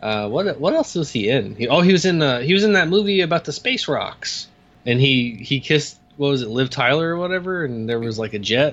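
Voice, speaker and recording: A man talks in a normal speaking voice at a fairly high pitch. His intonation is lively. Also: fairly quick pace. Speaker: podcast guest. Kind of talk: casual chat.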